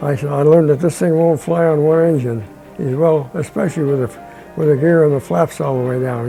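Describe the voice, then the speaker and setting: With music in the background, a man at a fairly high pitch talks at a fairly quick pace with lively intonation. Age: 80s+. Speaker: retired aircraft engine mechanic. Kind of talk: interview answer, personal reminiscence.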